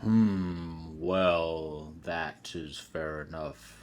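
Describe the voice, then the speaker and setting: In a put-on character voice, a man speaks very deep and low. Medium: read story. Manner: slow, deliberate, with humming pauses.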